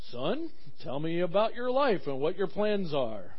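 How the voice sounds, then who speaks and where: A man talks in a booming, put-on character voice. His pace is moderate. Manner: intimidating.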